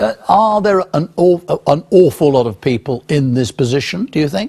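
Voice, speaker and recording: The voice is somewhat breathy, with very wide pitch swings and a dark, mellow tone. It moves at a moderate pace. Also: man, fairly high pitch for a man. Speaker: news presenter. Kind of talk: TV news presenting and interviewing.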